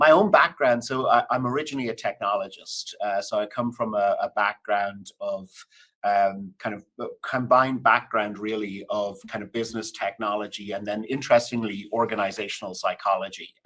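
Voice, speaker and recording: Speaking in an Irish accent, a man has a medium pitch and a bright, sharp tone, with big swings in loudness. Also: moderate pace. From Ireland. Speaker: business executive. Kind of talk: interview conversation.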